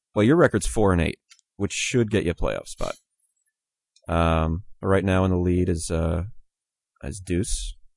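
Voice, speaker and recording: A man with a very deep, low pitch speaks at a fairly slow pace with ordinary pitch variation and long, frequent pauses. The sound is dry and close, with no echo. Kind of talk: casual chat.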